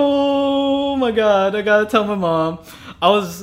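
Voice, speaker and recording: This is a man speaking. He has an American accent. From Manila, Philippines, then Kentucky. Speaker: guest. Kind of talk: casual conversational interview. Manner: casual, uses filler words.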